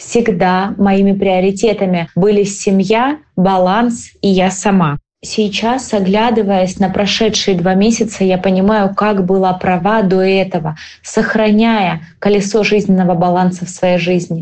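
This is a normal speaking voice moving at a fairly slow pace, its loudness very even and its intonation fairly even. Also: woman, medium pitch for a woman. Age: 30s. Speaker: cosmetologist, clinic owner. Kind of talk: recorded personal story.

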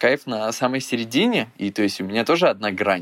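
This man talks at a very fast pace. He rushes through his words. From Belarus. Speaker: blogger and producer. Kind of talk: casual interview.

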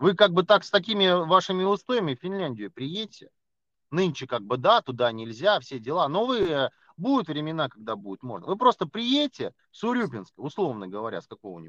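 Heard in a dry, close sound with no echo over a quiet background, a man speaks at a moderate pace with very wide pitch swings. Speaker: podcast co-host. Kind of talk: casual chat. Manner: loud, ranting.

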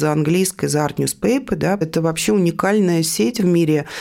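This woman's voice sits fairly low and has a dark, mellow tone. Her intonation is lively. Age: 50s. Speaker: art newspaper editor. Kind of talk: interview.

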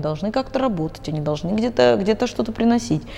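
Noticeable background noise is present. A woman speaks with very wide pitch swings. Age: 30s. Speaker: psychologist. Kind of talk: interview.

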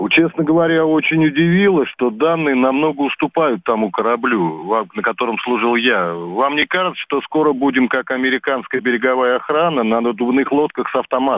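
A normal speaking voice with lively intonation and very even loudness. The pace is moderate, with hardly any pauses. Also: man, medium pitch for a man. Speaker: caller, navy border guard veteran. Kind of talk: call-in question.

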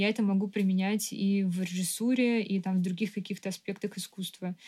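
A woman with a dark, mellow tone and a somewhat breathy voice talks at a fairly quick pace. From Moscow, Russia. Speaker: architect and artist. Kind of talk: casual chat.

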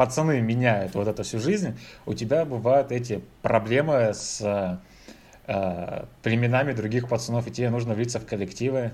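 A man's somewhat breathy voice moves fairly slowly, its pitch varying in an ordinary way. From Russia. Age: 30s. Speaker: IT evangelist. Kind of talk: casual chat.

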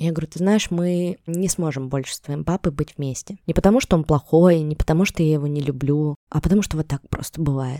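A woman with a very deep, low pitch and a dark, mellow tone talks at a fairly quick pace with hardly any pauses and ordinary pitch variation, in a dry, close sound with no echo. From Russia, Yekaterinburg. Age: 30s. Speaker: podcast host. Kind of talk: interview.

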